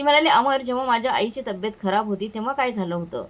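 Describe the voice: Plain reading aloud with ordinary pitch variation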